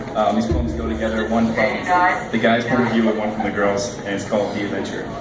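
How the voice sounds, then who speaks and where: With music in the background, a man talks at a very fast pace in a fairly low pitch with ordinary pitch variation. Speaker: slam poet. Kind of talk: poetry reading.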